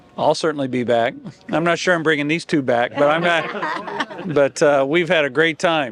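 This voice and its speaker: An American man talks at a moderate pace with very even loudness and ordinary pitch variation. His voice is fairly high, with noticeable background noise behind it. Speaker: race fan visitor. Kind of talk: casual chat.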